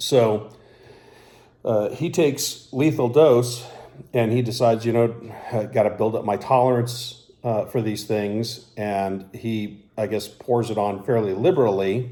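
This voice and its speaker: Audible room echo accompanies a man speaking at a fairly slow pace and medium pitch, with a dark, mellow tone and ordinary pitch variation. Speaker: YouTuber reviewing hot foods. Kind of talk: casual vlog monologue. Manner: halting with many fillers.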